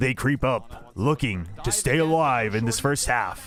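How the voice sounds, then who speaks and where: A man puts on a character voice with a dramatic tone, his pitch medium and his pace fairly slow. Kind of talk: trailer narration. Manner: dramatic, commentating.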